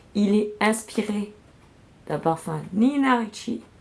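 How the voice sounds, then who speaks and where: This woman speaks at a medium pitch. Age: 40s. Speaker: beauty product sales rep streamer. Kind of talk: live product unboxing sales stream. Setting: livestream. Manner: casual, hesitant with fillers.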